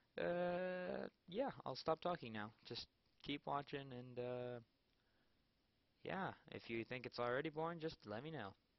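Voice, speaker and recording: Speaking at a fairly slow pace, a man uses lively intonation and takes long, frequent pauses. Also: fairly high pitch for a man. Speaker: gaming video creator. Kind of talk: gameplay commentary. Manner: halting, many fillers.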